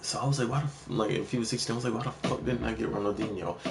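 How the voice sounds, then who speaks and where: Very fast speech comes through with noticeable background noise and audible room echo. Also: man. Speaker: gaming streamer. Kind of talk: casual chat.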